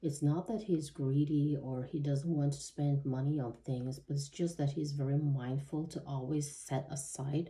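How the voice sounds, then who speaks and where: A woman with a non-native accent speaks at a moderate pace with hardly any pauses, her very deep, low pitch, dark and mellow tone, fairly even intonation and somewhat breathy quality all heard throughout. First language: not English. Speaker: tarot reader. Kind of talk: tarot reading monologue. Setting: home, seated at table. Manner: halting, many fillers.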